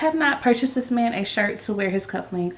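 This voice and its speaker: Delivery is very fast, with lively intonation and an animated tone. Noticeable background noise runs underneath. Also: woman. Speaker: vlogger. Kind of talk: casual vlog talk to camera. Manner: whispering.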